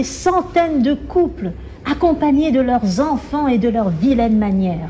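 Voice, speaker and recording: A woman speaks in a high pitch with very wide pitch swings. Noticeable background noise surrounds her. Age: 30s. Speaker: novelist. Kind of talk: reading aloud. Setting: library event with audience.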